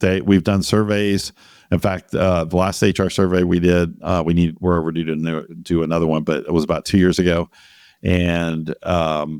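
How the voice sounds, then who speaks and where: Recorded very cleanly against a silent background, a man with a very deep, low pitch speaks at a moderate pace with ordinary pitch variation. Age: 50s. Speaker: MSP founder and CEO. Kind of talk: interview.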